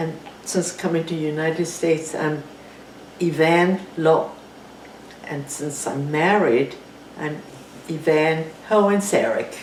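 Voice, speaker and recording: Speaking with a Chinese accent at a very deep, low pitch, a woman talks at a very slow pace with long, frequent pauses and fairly even intonation, amid noticeable background noise and audible room echo. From China. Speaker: war refugee. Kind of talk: interview.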